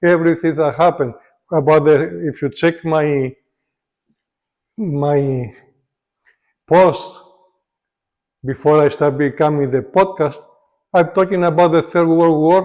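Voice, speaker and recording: A man's fairly high voice with a non-native accent and long, frequent pauses. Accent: foreign. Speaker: political commentator vlogger. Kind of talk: casual monologue vlog. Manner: halting, hesitant.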